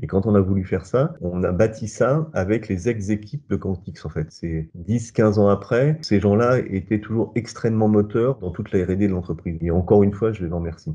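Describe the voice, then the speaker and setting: A man with a fairly low pitch and a dark, mellow tone speaks at a fairly quick pace, with hardly any pauses. His pitch varies in an ordinary way over a quiet background. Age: 60s. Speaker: company founder. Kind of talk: interview testimony.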